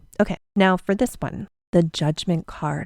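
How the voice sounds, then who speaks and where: In a Canadian accent, a dark, mellow voice moves at a fairly slow pace with ordinary pitch variation, in a dry, close sound with no echo and a very clean recording with a silent background. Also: woman. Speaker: tarot reader and podcast host. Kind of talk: podcast tutorial. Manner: casual, chatty.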